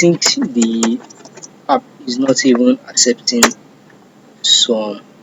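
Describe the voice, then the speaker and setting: Very slow speech in a non-native accent, with long, frequent pauses and noticeable background noise. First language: not English. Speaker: cybersecurity intern. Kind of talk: screen-share tutorial. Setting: self-recorded screen recording. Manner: halting.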